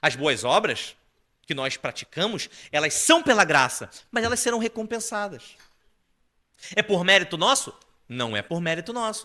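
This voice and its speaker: In a raised, projected voice, a man speaks at a high pitch with a bright, sharp tone, very wide pitch swings, a moderate pace, and long, frequent pauses. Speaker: preacher. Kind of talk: sermon.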